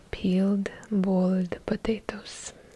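Soft-spoken and somewhat breathy, a woman talks at a very slow pace. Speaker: content creator. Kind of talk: soft-spoken ASMR-style role-play talk. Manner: soft-spoken, intimate, close-mic, accented. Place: home room. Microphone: studio mic.

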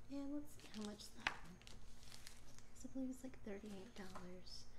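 Against noticeable background noise, a soft-spoken woman talks at a moderate pace with fairly even intonation. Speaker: unboxing vlogger. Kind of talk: ASMR unboxing talk to camera. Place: home room. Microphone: phone near.

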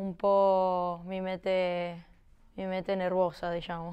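A woman with a Spanish accent talks at a very slow pace and a medium pitch. Her intonation is monotone and flat, over a quiet background. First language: Spanish (speaking Italian). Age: 20s. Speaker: footballer. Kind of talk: interview. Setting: studio. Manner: halting. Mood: calm, somewhat shy. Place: studio. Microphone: lapel.

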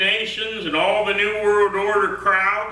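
With strong room echo, a man speaks at a high pitch in a bright, sharp tone.

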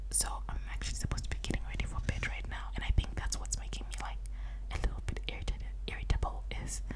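Loud background noise surrounds a woman speaking at a very fast pace. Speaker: ASMR creator. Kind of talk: casual vlog chat. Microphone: studio mic.

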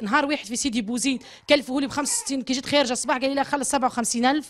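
A woman's high-pitched voice, very fast, with fairly even intonation. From Tunisia. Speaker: mother of a sick baby. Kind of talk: testimony. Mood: distressed, pleading. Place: home room. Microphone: handheld.

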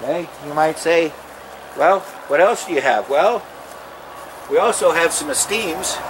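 A man with a high pitch talks at a fairly slow pace with lively intonation, long, frequent pauses and noticeable background noise. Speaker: RV salesman. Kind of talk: sales pitch, pitchman-style dealership lot promo. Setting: outdoors on dealership lot. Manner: animated; salesy, upbeat, direct-address patter. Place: open country.

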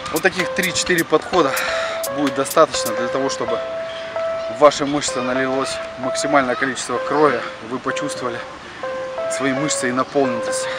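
Music plays behind a man who talks at a fairly quick pace, the sound dry with no echo. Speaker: fitness trainer. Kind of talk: tutorial. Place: garden. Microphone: phone near.

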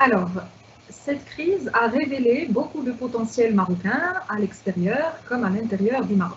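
Lively intonation at a fairly slow pace, with light background noise. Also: woman, fairly high pitch for a woman. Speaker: event moderator. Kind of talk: moderated Q&A. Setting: video call. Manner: formal. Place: home room. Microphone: lapel.

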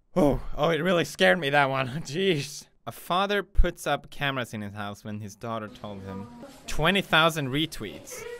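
Faint music plays in the background. The speaker keeps a moderate pace with big swings in loudness. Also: man. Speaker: online video creator. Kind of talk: casual reaction commentary. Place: home room. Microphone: studio mic.

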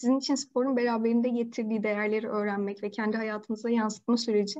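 A woman speaks at a fairly high pitch in a dark, mellow tone. The background is quiet. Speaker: interviewer. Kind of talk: interview questions. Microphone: video call.

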